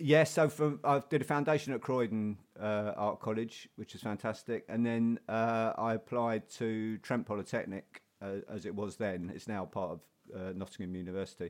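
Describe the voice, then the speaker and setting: A man with a South London accent, medium pitch, ordinary pitch variation and a moderate pace, in a very clean recording over a silent background. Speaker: painter and printmaker. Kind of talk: casual interview. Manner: halting, many repetitions.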